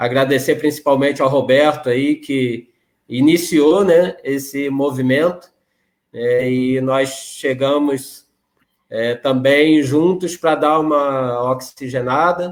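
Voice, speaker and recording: A man speaks at a very slow pace in a Rio de Janeiro accent. His pitch is fairly high, and his intonation is fairly even. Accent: carioca. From Rio de Janeiro, Brazil. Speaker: regional spiritist association president. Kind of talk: interview conversation.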